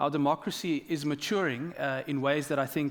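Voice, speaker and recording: In a very clean recording with a silent background, a man with a South African accent speaks at a moderate pace, his fairly high pitch held to a fairly even intonation. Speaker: government minister. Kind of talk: panel discussion.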